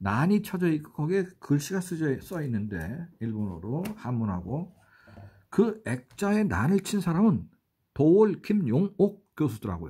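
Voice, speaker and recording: A man speaks at a fairly slow pace in a fairly high, somewhat breathy voice with a dark, mellow tone and very wide pitch swings. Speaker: writer and travel vlogger. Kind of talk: travel vlog narration. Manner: halting, many fillers.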